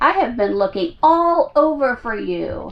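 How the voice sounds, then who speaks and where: Speaking at a fairly slow pace, a woman puts on a character voice with a high pitch. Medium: read story.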